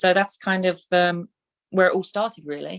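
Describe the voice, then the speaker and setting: A woman talks at a moderate pace in a London accent. The recording is very clean with a silent background and a dry, close sound with no echo. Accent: British (London). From Southeast London, England. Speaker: actress and film producer. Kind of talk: interview. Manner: halting, many fillers and repetitions.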